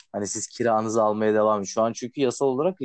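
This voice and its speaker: This man speaks at a fairly quick pace with a fairly low pitch. His is an unremarkable speaking voice. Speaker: podcast host. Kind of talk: casual chat.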